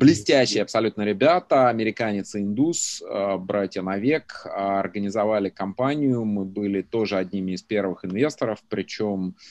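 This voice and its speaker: An unremarkable speaking voice goes at a moderate pace against a quiet background, with a dry, close sound with no echo. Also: man. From Russia, Belgorod region. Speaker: venture capitalist. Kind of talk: interview.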